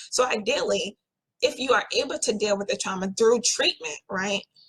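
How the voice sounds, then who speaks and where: The speaker is a woman. Her pitch sits fairly high. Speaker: therapist. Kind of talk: talk on trauma and healing. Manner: fast.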